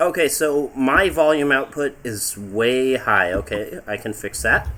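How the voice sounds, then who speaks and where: Noticeable background noise sits behind a man talking at a medium pitch with lively intonation. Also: fairly slow pace. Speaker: livestreamer reading fan fiction. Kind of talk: casual chat. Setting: livestream with voice chat. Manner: loud.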